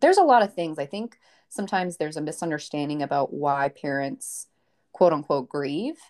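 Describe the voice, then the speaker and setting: Speaking at a moderate pace with an American accent, a woman has a very deep, low pitch, on a very clean recording with a silent background. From Maine, US. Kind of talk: personal story in interview.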